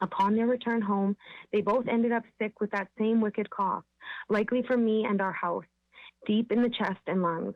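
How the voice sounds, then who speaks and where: A woman has an unremarkable speaking voice with a fairly high pitch. She speaks at a moderate pace with very even loudness. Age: 30s. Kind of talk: public presentation to city council. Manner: formal.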